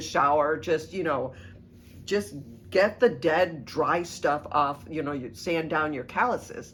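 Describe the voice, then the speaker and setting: Using a plain, everyday voice, a woman with an American accent speaks at a fairly slow pace with lively intonation. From US Midwest, Southern Illinois. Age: 60s. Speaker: knitting video host. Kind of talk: casual tutorial monologue. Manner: casual, many fillers.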